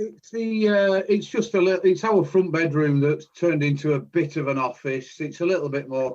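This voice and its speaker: A man's fairly high voice in a Lancashire accent, at a moderate pace with hardly any pauses and ordinary pitch variation. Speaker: podcast co-host. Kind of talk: casual chat. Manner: loud.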